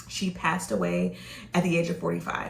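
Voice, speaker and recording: A woman with an American accent speaks in a fairly low voice. Room echo is audible. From Virginia (Norfolk/Virginia Beach). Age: 40s. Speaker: vlogger. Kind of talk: personal vlog monologue. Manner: casual, with frequent fillers.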